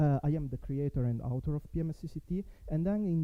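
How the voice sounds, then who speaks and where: A man speaks with an Italian accent in a dark, mellow tone. His pace is moderate. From Italy. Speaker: network software developer, conference speaker. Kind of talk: conference talk. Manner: halting, many fillers.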